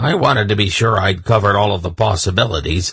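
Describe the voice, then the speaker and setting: A man puts on a gruff, raspy character voice at a fairly low pitch. He rattles along at a very fast pace with ordinary pitch variation. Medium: read story. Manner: blunt, gruff.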